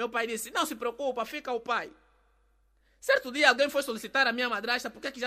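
A man with an extremely high pitch and a bright, sharp tone speaks at a very fast pace in a raised, projected voice. His intonation stays fairly even while his loudness swings widely. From Angola. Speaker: comedian. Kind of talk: comedic storytelling.

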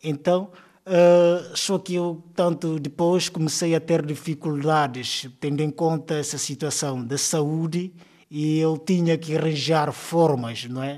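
A man speaks at a very slow pace in a fairly high pitch, his intonation fairly even. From Guinea-Bissau, Cacheu region. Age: 30s. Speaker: primary school teacher. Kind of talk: interview. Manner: hesitant, many fillers.

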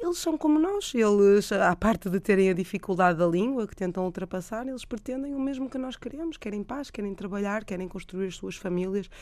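A woman's medium-pitched voice with lively intonation, a fairly quick pace and hardly any pauses, on a very clean recording with a silent background. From Portugal (moved from Peru as small child), Porto. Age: young. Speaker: doctor, humanitarian volunteer. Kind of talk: radio interview. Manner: hesitant, repeats words.

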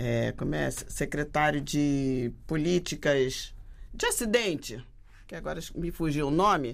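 Very deep and low, a woman's voice carries vocal fry. She speaks at a very slow pace with ordinary pitch variation. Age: 70s. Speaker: archivist and quilombola activist. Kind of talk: casual interview conversation.

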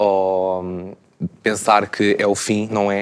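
Flat and monotone, a man talks with a fairly low pitch. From Portugal, Lisbon area. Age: 20s. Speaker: communication sciences student. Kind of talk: panel discussion.

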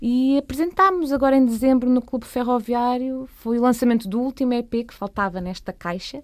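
A woman with an unremarkable speaking voice talks at a moderate pace and a fairly high pitch. The recording is very clean, with a silent background. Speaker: cellist and singer. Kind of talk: radio interview.

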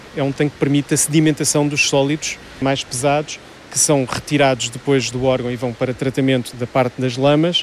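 Over noticeable background noise, a man with a fairly high pitch speaks in a monotone, flat intonation. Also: fairly quick pace. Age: 40s. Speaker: wastewater plant manager. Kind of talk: interview. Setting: wastewater treatment plant.

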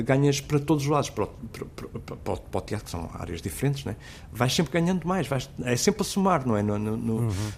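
Pitch rises and falls very widely here. The delivery is fairly quick. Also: man, medium pitch for a man. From Portugal, south bank of the Tagus (Seixal). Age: 40s. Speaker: radio host. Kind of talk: casual interview chat. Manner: halting.

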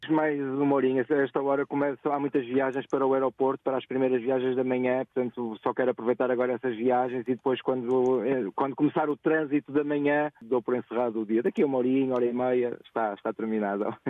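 A man talks at a very fast pace with hardly any pauses, at a medium pitch. His loudness stays very even and his intonation fairly even. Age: 40s. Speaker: ride-hailing driver. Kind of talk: radio phone-in chat. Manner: halting, many repetitions.

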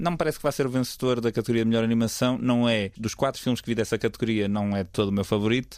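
This man talks very fast at a medium pitch with hardly any pauses. His pitch varies in an ordinary way. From northern Portugal, Vila Nova de Gaia. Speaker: podcast host, film critic. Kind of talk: casual chat.

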